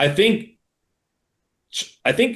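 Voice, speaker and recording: A man speaks loudly. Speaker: magician. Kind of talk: interview.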